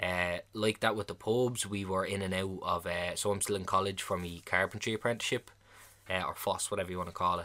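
In an Irish accent, a man talks very fast with a fairly low pitch and a bright, sharp tone on a very clean recording with a silent background. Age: 20s. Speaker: podcast host. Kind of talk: casual monologue. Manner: animated.

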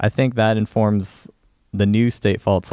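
A man speaks in a plain, everyday voice, fairly low in pitch with fairly even intonation. The sound is dry and close, with no echo. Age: late 20s. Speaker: musician in a band. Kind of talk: casual chat. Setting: stage with audience.

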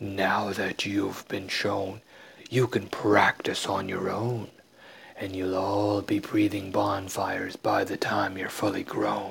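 Using a raspy put-on character voice, a man speaks at a fairly slow pace in a fairly low pitch. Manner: commanding, teacherly.

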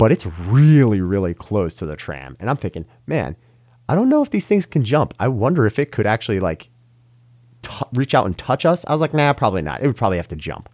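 A man talks at a fairly quick pace, his pitch swinging very widely. The recording is very clean with a silent background and a dry, close sound with no echo. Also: medium pitch for a man. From New York. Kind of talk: interview storytelling. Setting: studio.

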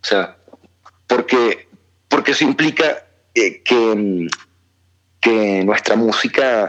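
Very slowly and at a very even loudness, a man talks with long, frequent pauses. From Venezuela, born in Argentina. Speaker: musician. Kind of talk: interview. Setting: phone call.

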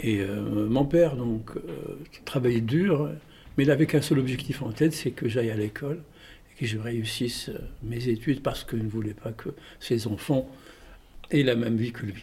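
At a moderate pace, a man with a medium-pitched, somewhat breathy voice and a dark, mellow tone speaks with ordinary pitch variation, big swings in loudness, and long, frequent pauses. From Tunisia (Tunis). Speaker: storyteller and theatre actor. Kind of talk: interview.

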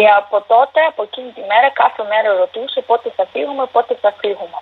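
Fairly high-pitched female speech moving at a fairly quick pace. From Ukraine (Donetsk, then Dnipro). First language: Ukrainian or Russian (speaking Greek). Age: 20s. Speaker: university student, war refugee. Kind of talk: interview. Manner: halting.

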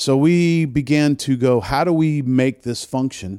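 The dry, close recording has no echo and a silent background, very clean, capturing a man with a Southern US accent at a fairly high pitch. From US South, New Orleans. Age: old. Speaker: music festival producer. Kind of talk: casual interview. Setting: in an office.

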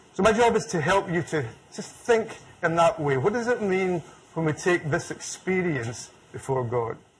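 A high-pitched man with a Scottish accent, lively intonation and a moderate pace. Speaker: theologian and lecturer. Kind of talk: public lecture.

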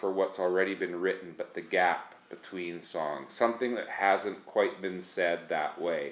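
This is an unremarkable speaking voice with fairly even intonation. It moves at a moderate pace with hardly any pauses. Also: man. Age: 40s. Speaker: worship leader and songwriter. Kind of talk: casual interview. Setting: at his home.

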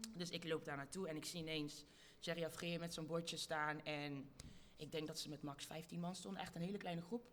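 Moderate pace from a woman with fairly low pitch and fairly even intonation, plus audible room echo. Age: young. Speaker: activist. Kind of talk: live panel talk before audience. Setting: stage with audience.

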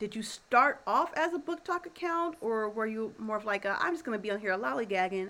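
A woman's fairly high voice makes very wide pitch swings against noticeable background noise. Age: 30s. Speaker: podcast co-host. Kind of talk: casual chat.

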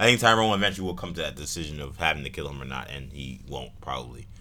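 The voice races along at a very fast pace with a bright, sharp tone, lively intonation, and vocal fry. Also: man. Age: 20s. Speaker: podcast host. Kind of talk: casual chat.

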